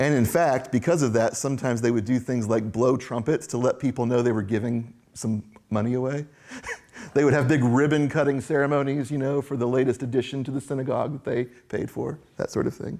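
Against a quiet background, a man speaks with a dark, mellow tone and fairly even intonation. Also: fairly quick pace. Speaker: preacher. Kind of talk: sermon. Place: church.

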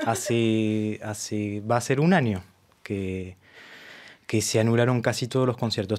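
The man's delivery moves at a fairly slow pace. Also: quiet background. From France, Argentine parents. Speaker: tango violinist and arranger; guest. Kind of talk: interview. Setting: radio studio. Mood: relaxed, friendly. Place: studio. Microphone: studio mic.

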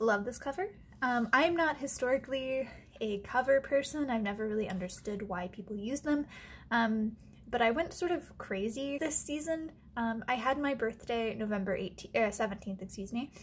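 Light background noise sits behind a woman speaking at a moderate pace with lively intonation. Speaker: stationery vlogger. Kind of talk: casual vlog chat. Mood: cheerful, chatty.

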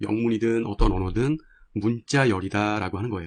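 With an ordinary speaking voice at medium pitch, a man talks at a fairly quick pace with lively intonation against a quiet background. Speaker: programming instructor. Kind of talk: tutorial.

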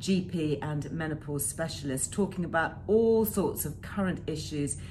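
The speech proceeds at a moderate pace. Noticeable background noise sits behind it. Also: woman. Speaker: presenter. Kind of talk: informative talk to camera. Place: home room. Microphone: phone near.

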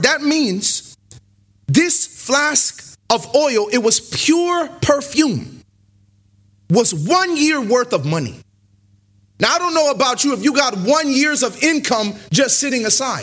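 In a quiet setting, a man with an extremely high pitch talks at a fairly slow pace, his tone animated and his intonation lively. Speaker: preacher. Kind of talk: sermon. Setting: church; stage with audience. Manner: animated, call-and-response preacher. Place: church. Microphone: podium.

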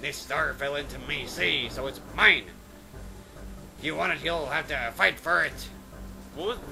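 A gruff, put-on character voice moves at a fairly slow pace over clear music in the background. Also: man. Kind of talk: comic overacting of game text. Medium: game stream. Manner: gruff, swaggering pirate talk.

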